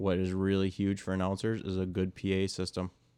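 A man speaks with a very deep, low pitch and a dark, mellow tone. His pace is moderate. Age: 20s. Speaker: motorsports insider. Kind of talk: casual chat.

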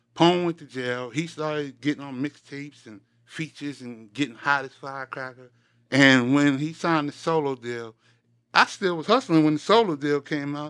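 The recording is very clean with a silent background, as a man with a fairly high pitch and ordinary pitch variation speaks at a moderate pace. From Queens, New York. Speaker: former road manager and uncle of a rapper. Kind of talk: casual chat.

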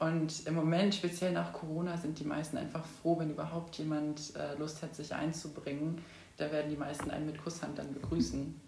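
A woman with a very deep, low pitch speaks at a moderate pace in a monotone, flat delivery, with audible room echo and noticeable background noise. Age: 20s. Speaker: student activist. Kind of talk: interview.

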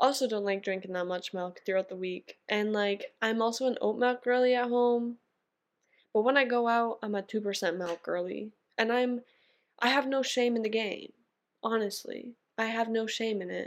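A woman's fairly high, fairly even voice at a moderate pace, an ordinary speaking voice, in a very clean recording with a silent background. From Canada. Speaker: podcast host. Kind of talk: casual solo monologue.

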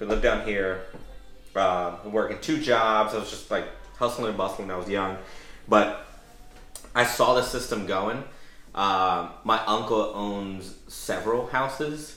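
Long, frequent pauses break up this man's fairly slow speech. His pitch is fairly low with ordinary variation, and the room echo is audible. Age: 30s. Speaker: real estate investor, podcast host. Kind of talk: casual chat.

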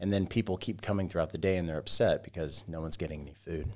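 The speaker has an American accent, captured in a very clean recording with a silent background. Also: man. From US South, Georgia. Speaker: barbecue business owner. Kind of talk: casual interview.

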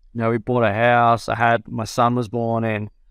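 This man has an Australian accent. His pitch is medium and his pace is moderate. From New South Wales, Australia. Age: 30s. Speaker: professional golfer. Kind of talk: casual interview.

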